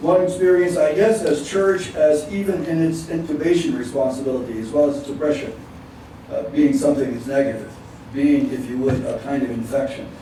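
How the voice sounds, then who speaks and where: A man's fairly high voice at a fairly quick pace, with audible room echo and noticeable background noise. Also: ordinary pitch variation. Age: 70s. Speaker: retired Methodist minister and panelist. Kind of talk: panel talk. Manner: halting, many repetitions.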